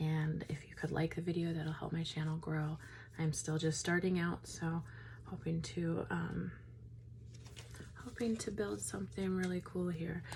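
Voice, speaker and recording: A woman with a very deep, low pitch and a somewhat breathy voice speaks at a fairly slow pace with very even loudness, ordinary pitch variation, and long, frequent pauses. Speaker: tarot reader. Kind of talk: tarot reading. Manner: slow, with pauses.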